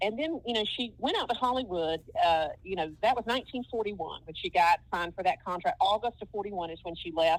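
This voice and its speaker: In a Southern US accent, a woman speaks at a fairly quick pace with a medium pitch and lively intonation. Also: hardly any pauses. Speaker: film historian. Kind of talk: podcast interview.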